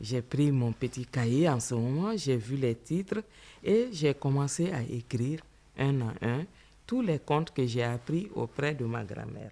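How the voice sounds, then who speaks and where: Speaking in a Malian accent, a woman with a very deep, low voice and a dark, mellow tone talks at a fairly slow pace with lively intonation. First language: Bambara (speaking French). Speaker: writer and storyteller. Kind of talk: interview. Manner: halting.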